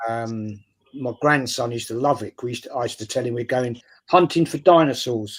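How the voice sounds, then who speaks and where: With an English accent, a man at medium pitch talks at a fairly quick pace, his loudness swinging widely. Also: ordinary pitch variation. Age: 60s. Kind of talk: casual chat.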